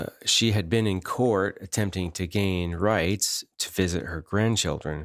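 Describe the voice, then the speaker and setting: Very deep and low, a man's voice comes through in an American accent. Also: fairly slow pace. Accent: northern US accent noticed by locals. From northern US. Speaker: podcast host. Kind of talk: personal storytelling. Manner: conversational with fillers.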